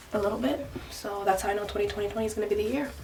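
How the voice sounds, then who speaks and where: Noticeable background noise and audible room echo fill the recording. A woman speaks at a fairly high pitch with lively intonation. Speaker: lifestyle vlogger. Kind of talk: casual vlog. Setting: basement at home. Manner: animated.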